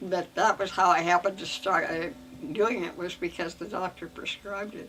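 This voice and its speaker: A woman's medium-pitched voice with an Inland Northwest accent and ordinary pitch variation, over noticeable background noise. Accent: American, Inland Northwest. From Idaho. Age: 80s+. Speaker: retired educator. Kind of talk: interview answer. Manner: slow, hesitant.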